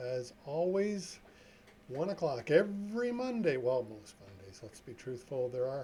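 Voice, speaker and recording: This man uses a normal speaking voice, moving at a fairly slow pace with ordinary pitch variation. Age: 60s. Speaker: trucking safety consultant. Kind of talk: live stream talk. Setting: live stream. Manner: casual, chatty.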